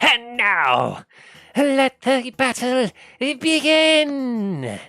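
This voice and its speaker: A booming, put-on character voice at a fairly high pitch moves at a very slow pace. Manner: commanding, dramatic.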